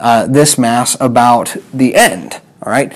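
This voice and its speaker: The man's pace is very slow. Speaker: physics teacher. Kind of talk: lecture. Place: classroom. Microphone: lapel.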